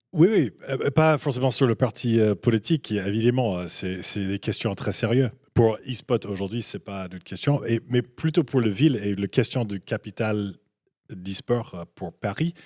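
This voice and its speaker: On a very clean recording with a silent background and a dry, close sound with no echo, a man speaks at a fairly slow pace in a dark, mellow tone of medium pitch, with ordinary pitch variation and big swings in loudness. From Canada. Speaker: esports business guest. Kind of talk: panel discussion. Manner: halting, many hesitations.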